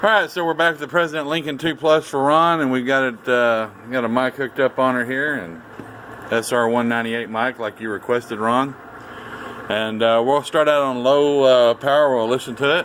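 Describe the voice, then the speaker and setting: A man at a medium pitch speaks with ordinary pitch variation amid noticeable background noise. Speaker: radio repair technician. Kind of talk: technical demonstration. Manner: fast.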